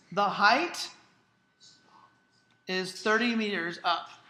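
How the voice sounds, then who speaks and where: A woman with a bright, sharp tone and ordinary pitch variation speaks amid audible room echo. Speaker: high school physics teacher. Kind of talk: classroom lecture. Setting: classroom with students.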